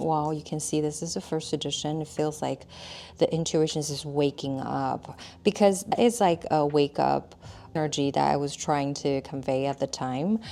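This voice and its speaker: A woman's very deep, low voice with a dark, mellow tone and a non-native accent. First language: not English. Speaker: tarot deck artist. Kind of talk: product review chat. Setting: filmed on camera. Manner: casual, with fillers and restarts.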